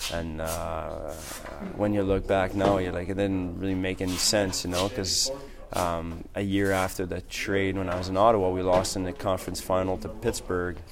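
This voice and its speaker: A man with a very deep, low pitch is heard with audible room echo and music in the background. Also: fairly even intonation, moderate pace. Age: 30s. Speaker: professional hockey player. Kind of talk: interview.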